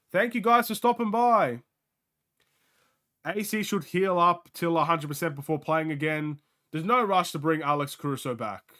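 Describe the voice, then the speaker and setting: Projected and raised, the bright, sharp voice moves at a moderate pace through very wide pitch swings on a very clean recording with a silent background. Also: man. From Australia. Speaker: sports streamer. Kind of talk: live game watchalong commentary. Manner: casual, animated.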